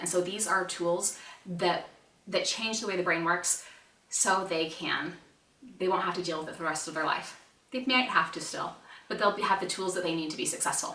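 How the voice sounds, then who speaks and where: A woman with a medium pitch and an animated tone speaks amid audible room echo and noticeable background noise. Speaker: parenting educator, mom. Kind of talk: online conference presentation. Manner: fast.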